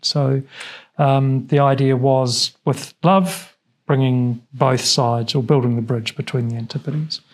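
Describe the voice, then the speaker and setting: With a New Zealand accent, a man speaks at a moderate pace in a medium pitch, somewhat breathy and with fairly even intonation. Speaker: business owner. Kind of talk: studio interview. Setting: TV studio.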